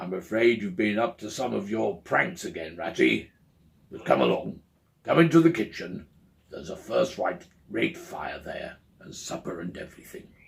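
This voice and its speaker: A man's gruff, raspy put-on character voice at a medium pitch, moderate in pace, with big swings in loudness. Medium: read story. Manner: gruff, paternal.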